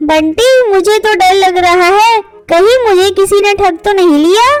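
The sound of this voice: Music plays behind a woman doing a cartoonish character voice at an extremely high pitch. She moves at a moderate pace with ordinary pitch variation.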